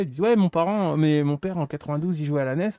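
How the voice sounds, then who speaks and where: A man speaks at a moderate pace with a dark, mellow tone, the sound dry with no echo over a quiet background. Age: 40s. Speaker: retro gamer; DIY streamer repairing controller. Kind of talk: casual chat. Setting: live stream. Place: workshop.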